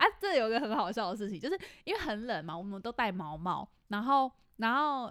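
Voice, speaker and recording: A woman's animated, fairly quick delivery at a fairly high pitch, with very wide pitch swings, on a very clean recording with a silent background. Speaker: podcast co-host. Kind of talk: casual chat.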